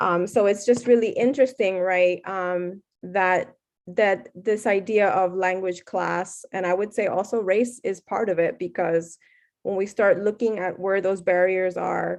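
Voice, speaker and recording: Against a quiet background, a woman talks with a Miami accent at a fairly slow pace. Her pitch is medium and her intonation fairly even. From Puerto Rican, raised in South Florida. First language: Spanish. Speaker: professor. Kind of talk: Q&A after keynote lecture. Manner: frequent fillers and hesitations.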